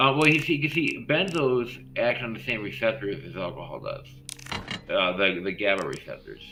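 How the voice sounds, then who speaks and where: Noticeable background noise, big swings in loudness, and audible room echo. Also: man, moderate pace. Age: 40s. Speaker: gaming streamer. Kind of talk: casual chat. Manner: halting; slurred.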